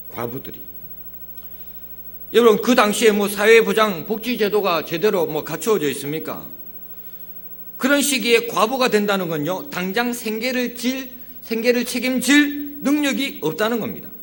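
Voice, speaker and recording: With a strong Gyeongsang accent, a man talks at a moderate pace in a high pitch for a man, his intonation lively and his pauses long and frequent, amid audible room echo. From Gyeongsang region, South Korea. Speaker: pastor. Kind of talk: sermon.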